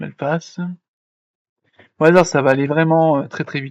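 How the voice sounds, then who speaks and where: With a fairly high pitch, a man talks in a monotone, flat intonation. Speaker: 3D software tutorial creator. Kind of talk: tutorial. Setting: live stream. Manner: fast.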